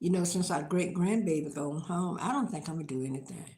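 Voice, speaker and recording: A woman with an American accent speaks in a very deep, low, somewhat breathy voice with a dark, mellow tone and ordinary pitch variation, with audible room echo. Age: old. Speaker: lifestyle vlogger. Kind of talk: casual live-stream chat.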